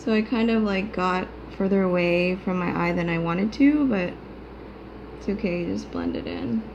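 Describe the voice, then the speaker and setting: A woman speaks quietly at a moderate pace, medium in pitch with ordinary pitch variation. Room echo is audible. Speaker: beauty vlogger. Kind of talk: tutorial. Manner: casual.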